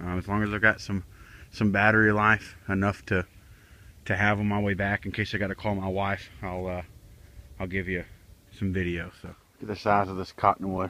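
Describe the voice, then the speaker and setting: A man mumbles at a fairly quick pace, broken by long, frequent pauses. His tone is bright and sharp, with fairly low pitch and flat, monotone intonation. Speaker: outdoors vlogger. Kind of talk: casual vlog narration. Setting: outdoors. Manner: mumbling.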